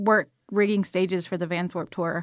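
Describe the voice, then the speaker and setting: With an American accent and an unremarkable speaking voice, the speaker goes at a moderate pace with ordinary pitch variation in a very clean recording with a silent background. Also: woman. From US South, South Georgia. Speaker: filmmaker and film crew worker. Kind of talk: casual interview chat.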